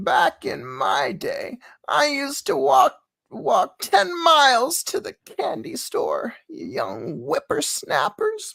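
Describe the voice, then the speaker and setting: This put-on character voice has a high pitch. It moves at a very slow pace. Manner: crotchety, scolding.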